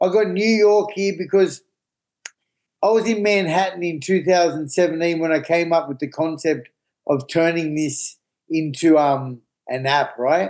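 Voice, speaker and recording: Speaking with an Australian accent at a moderate pace, a man uses a high pitch with ordinary pitch variation. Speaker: recovering addict and app founder. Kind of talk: podcast interview. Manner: animated.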